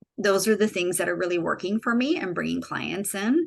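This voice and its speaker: The background is quiet. A woman speaks. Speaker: intuition coach. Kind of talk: webinar presentation.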